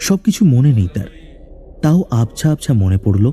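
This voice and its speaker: Over noticeable background noise, a man at a medium pitch talks with very wide pitch swings. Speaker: voice artist narrator. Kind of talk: horror story narration.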